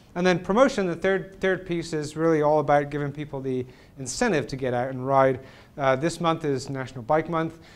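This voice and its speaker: A man at a fairly high pitch and fairly quick pace, with ordinary pitch variation. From England. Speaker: cycling advocacy organization president. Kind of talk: public talk. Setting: presentation with live audience. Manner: halting, many fillers.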